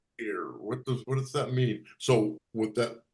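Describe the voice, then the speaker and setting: In a somewhat breathy voice, a man speaks with monotone, flat intonation. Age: 60s. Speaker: committee member. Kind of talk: meeting discussion. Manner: halting.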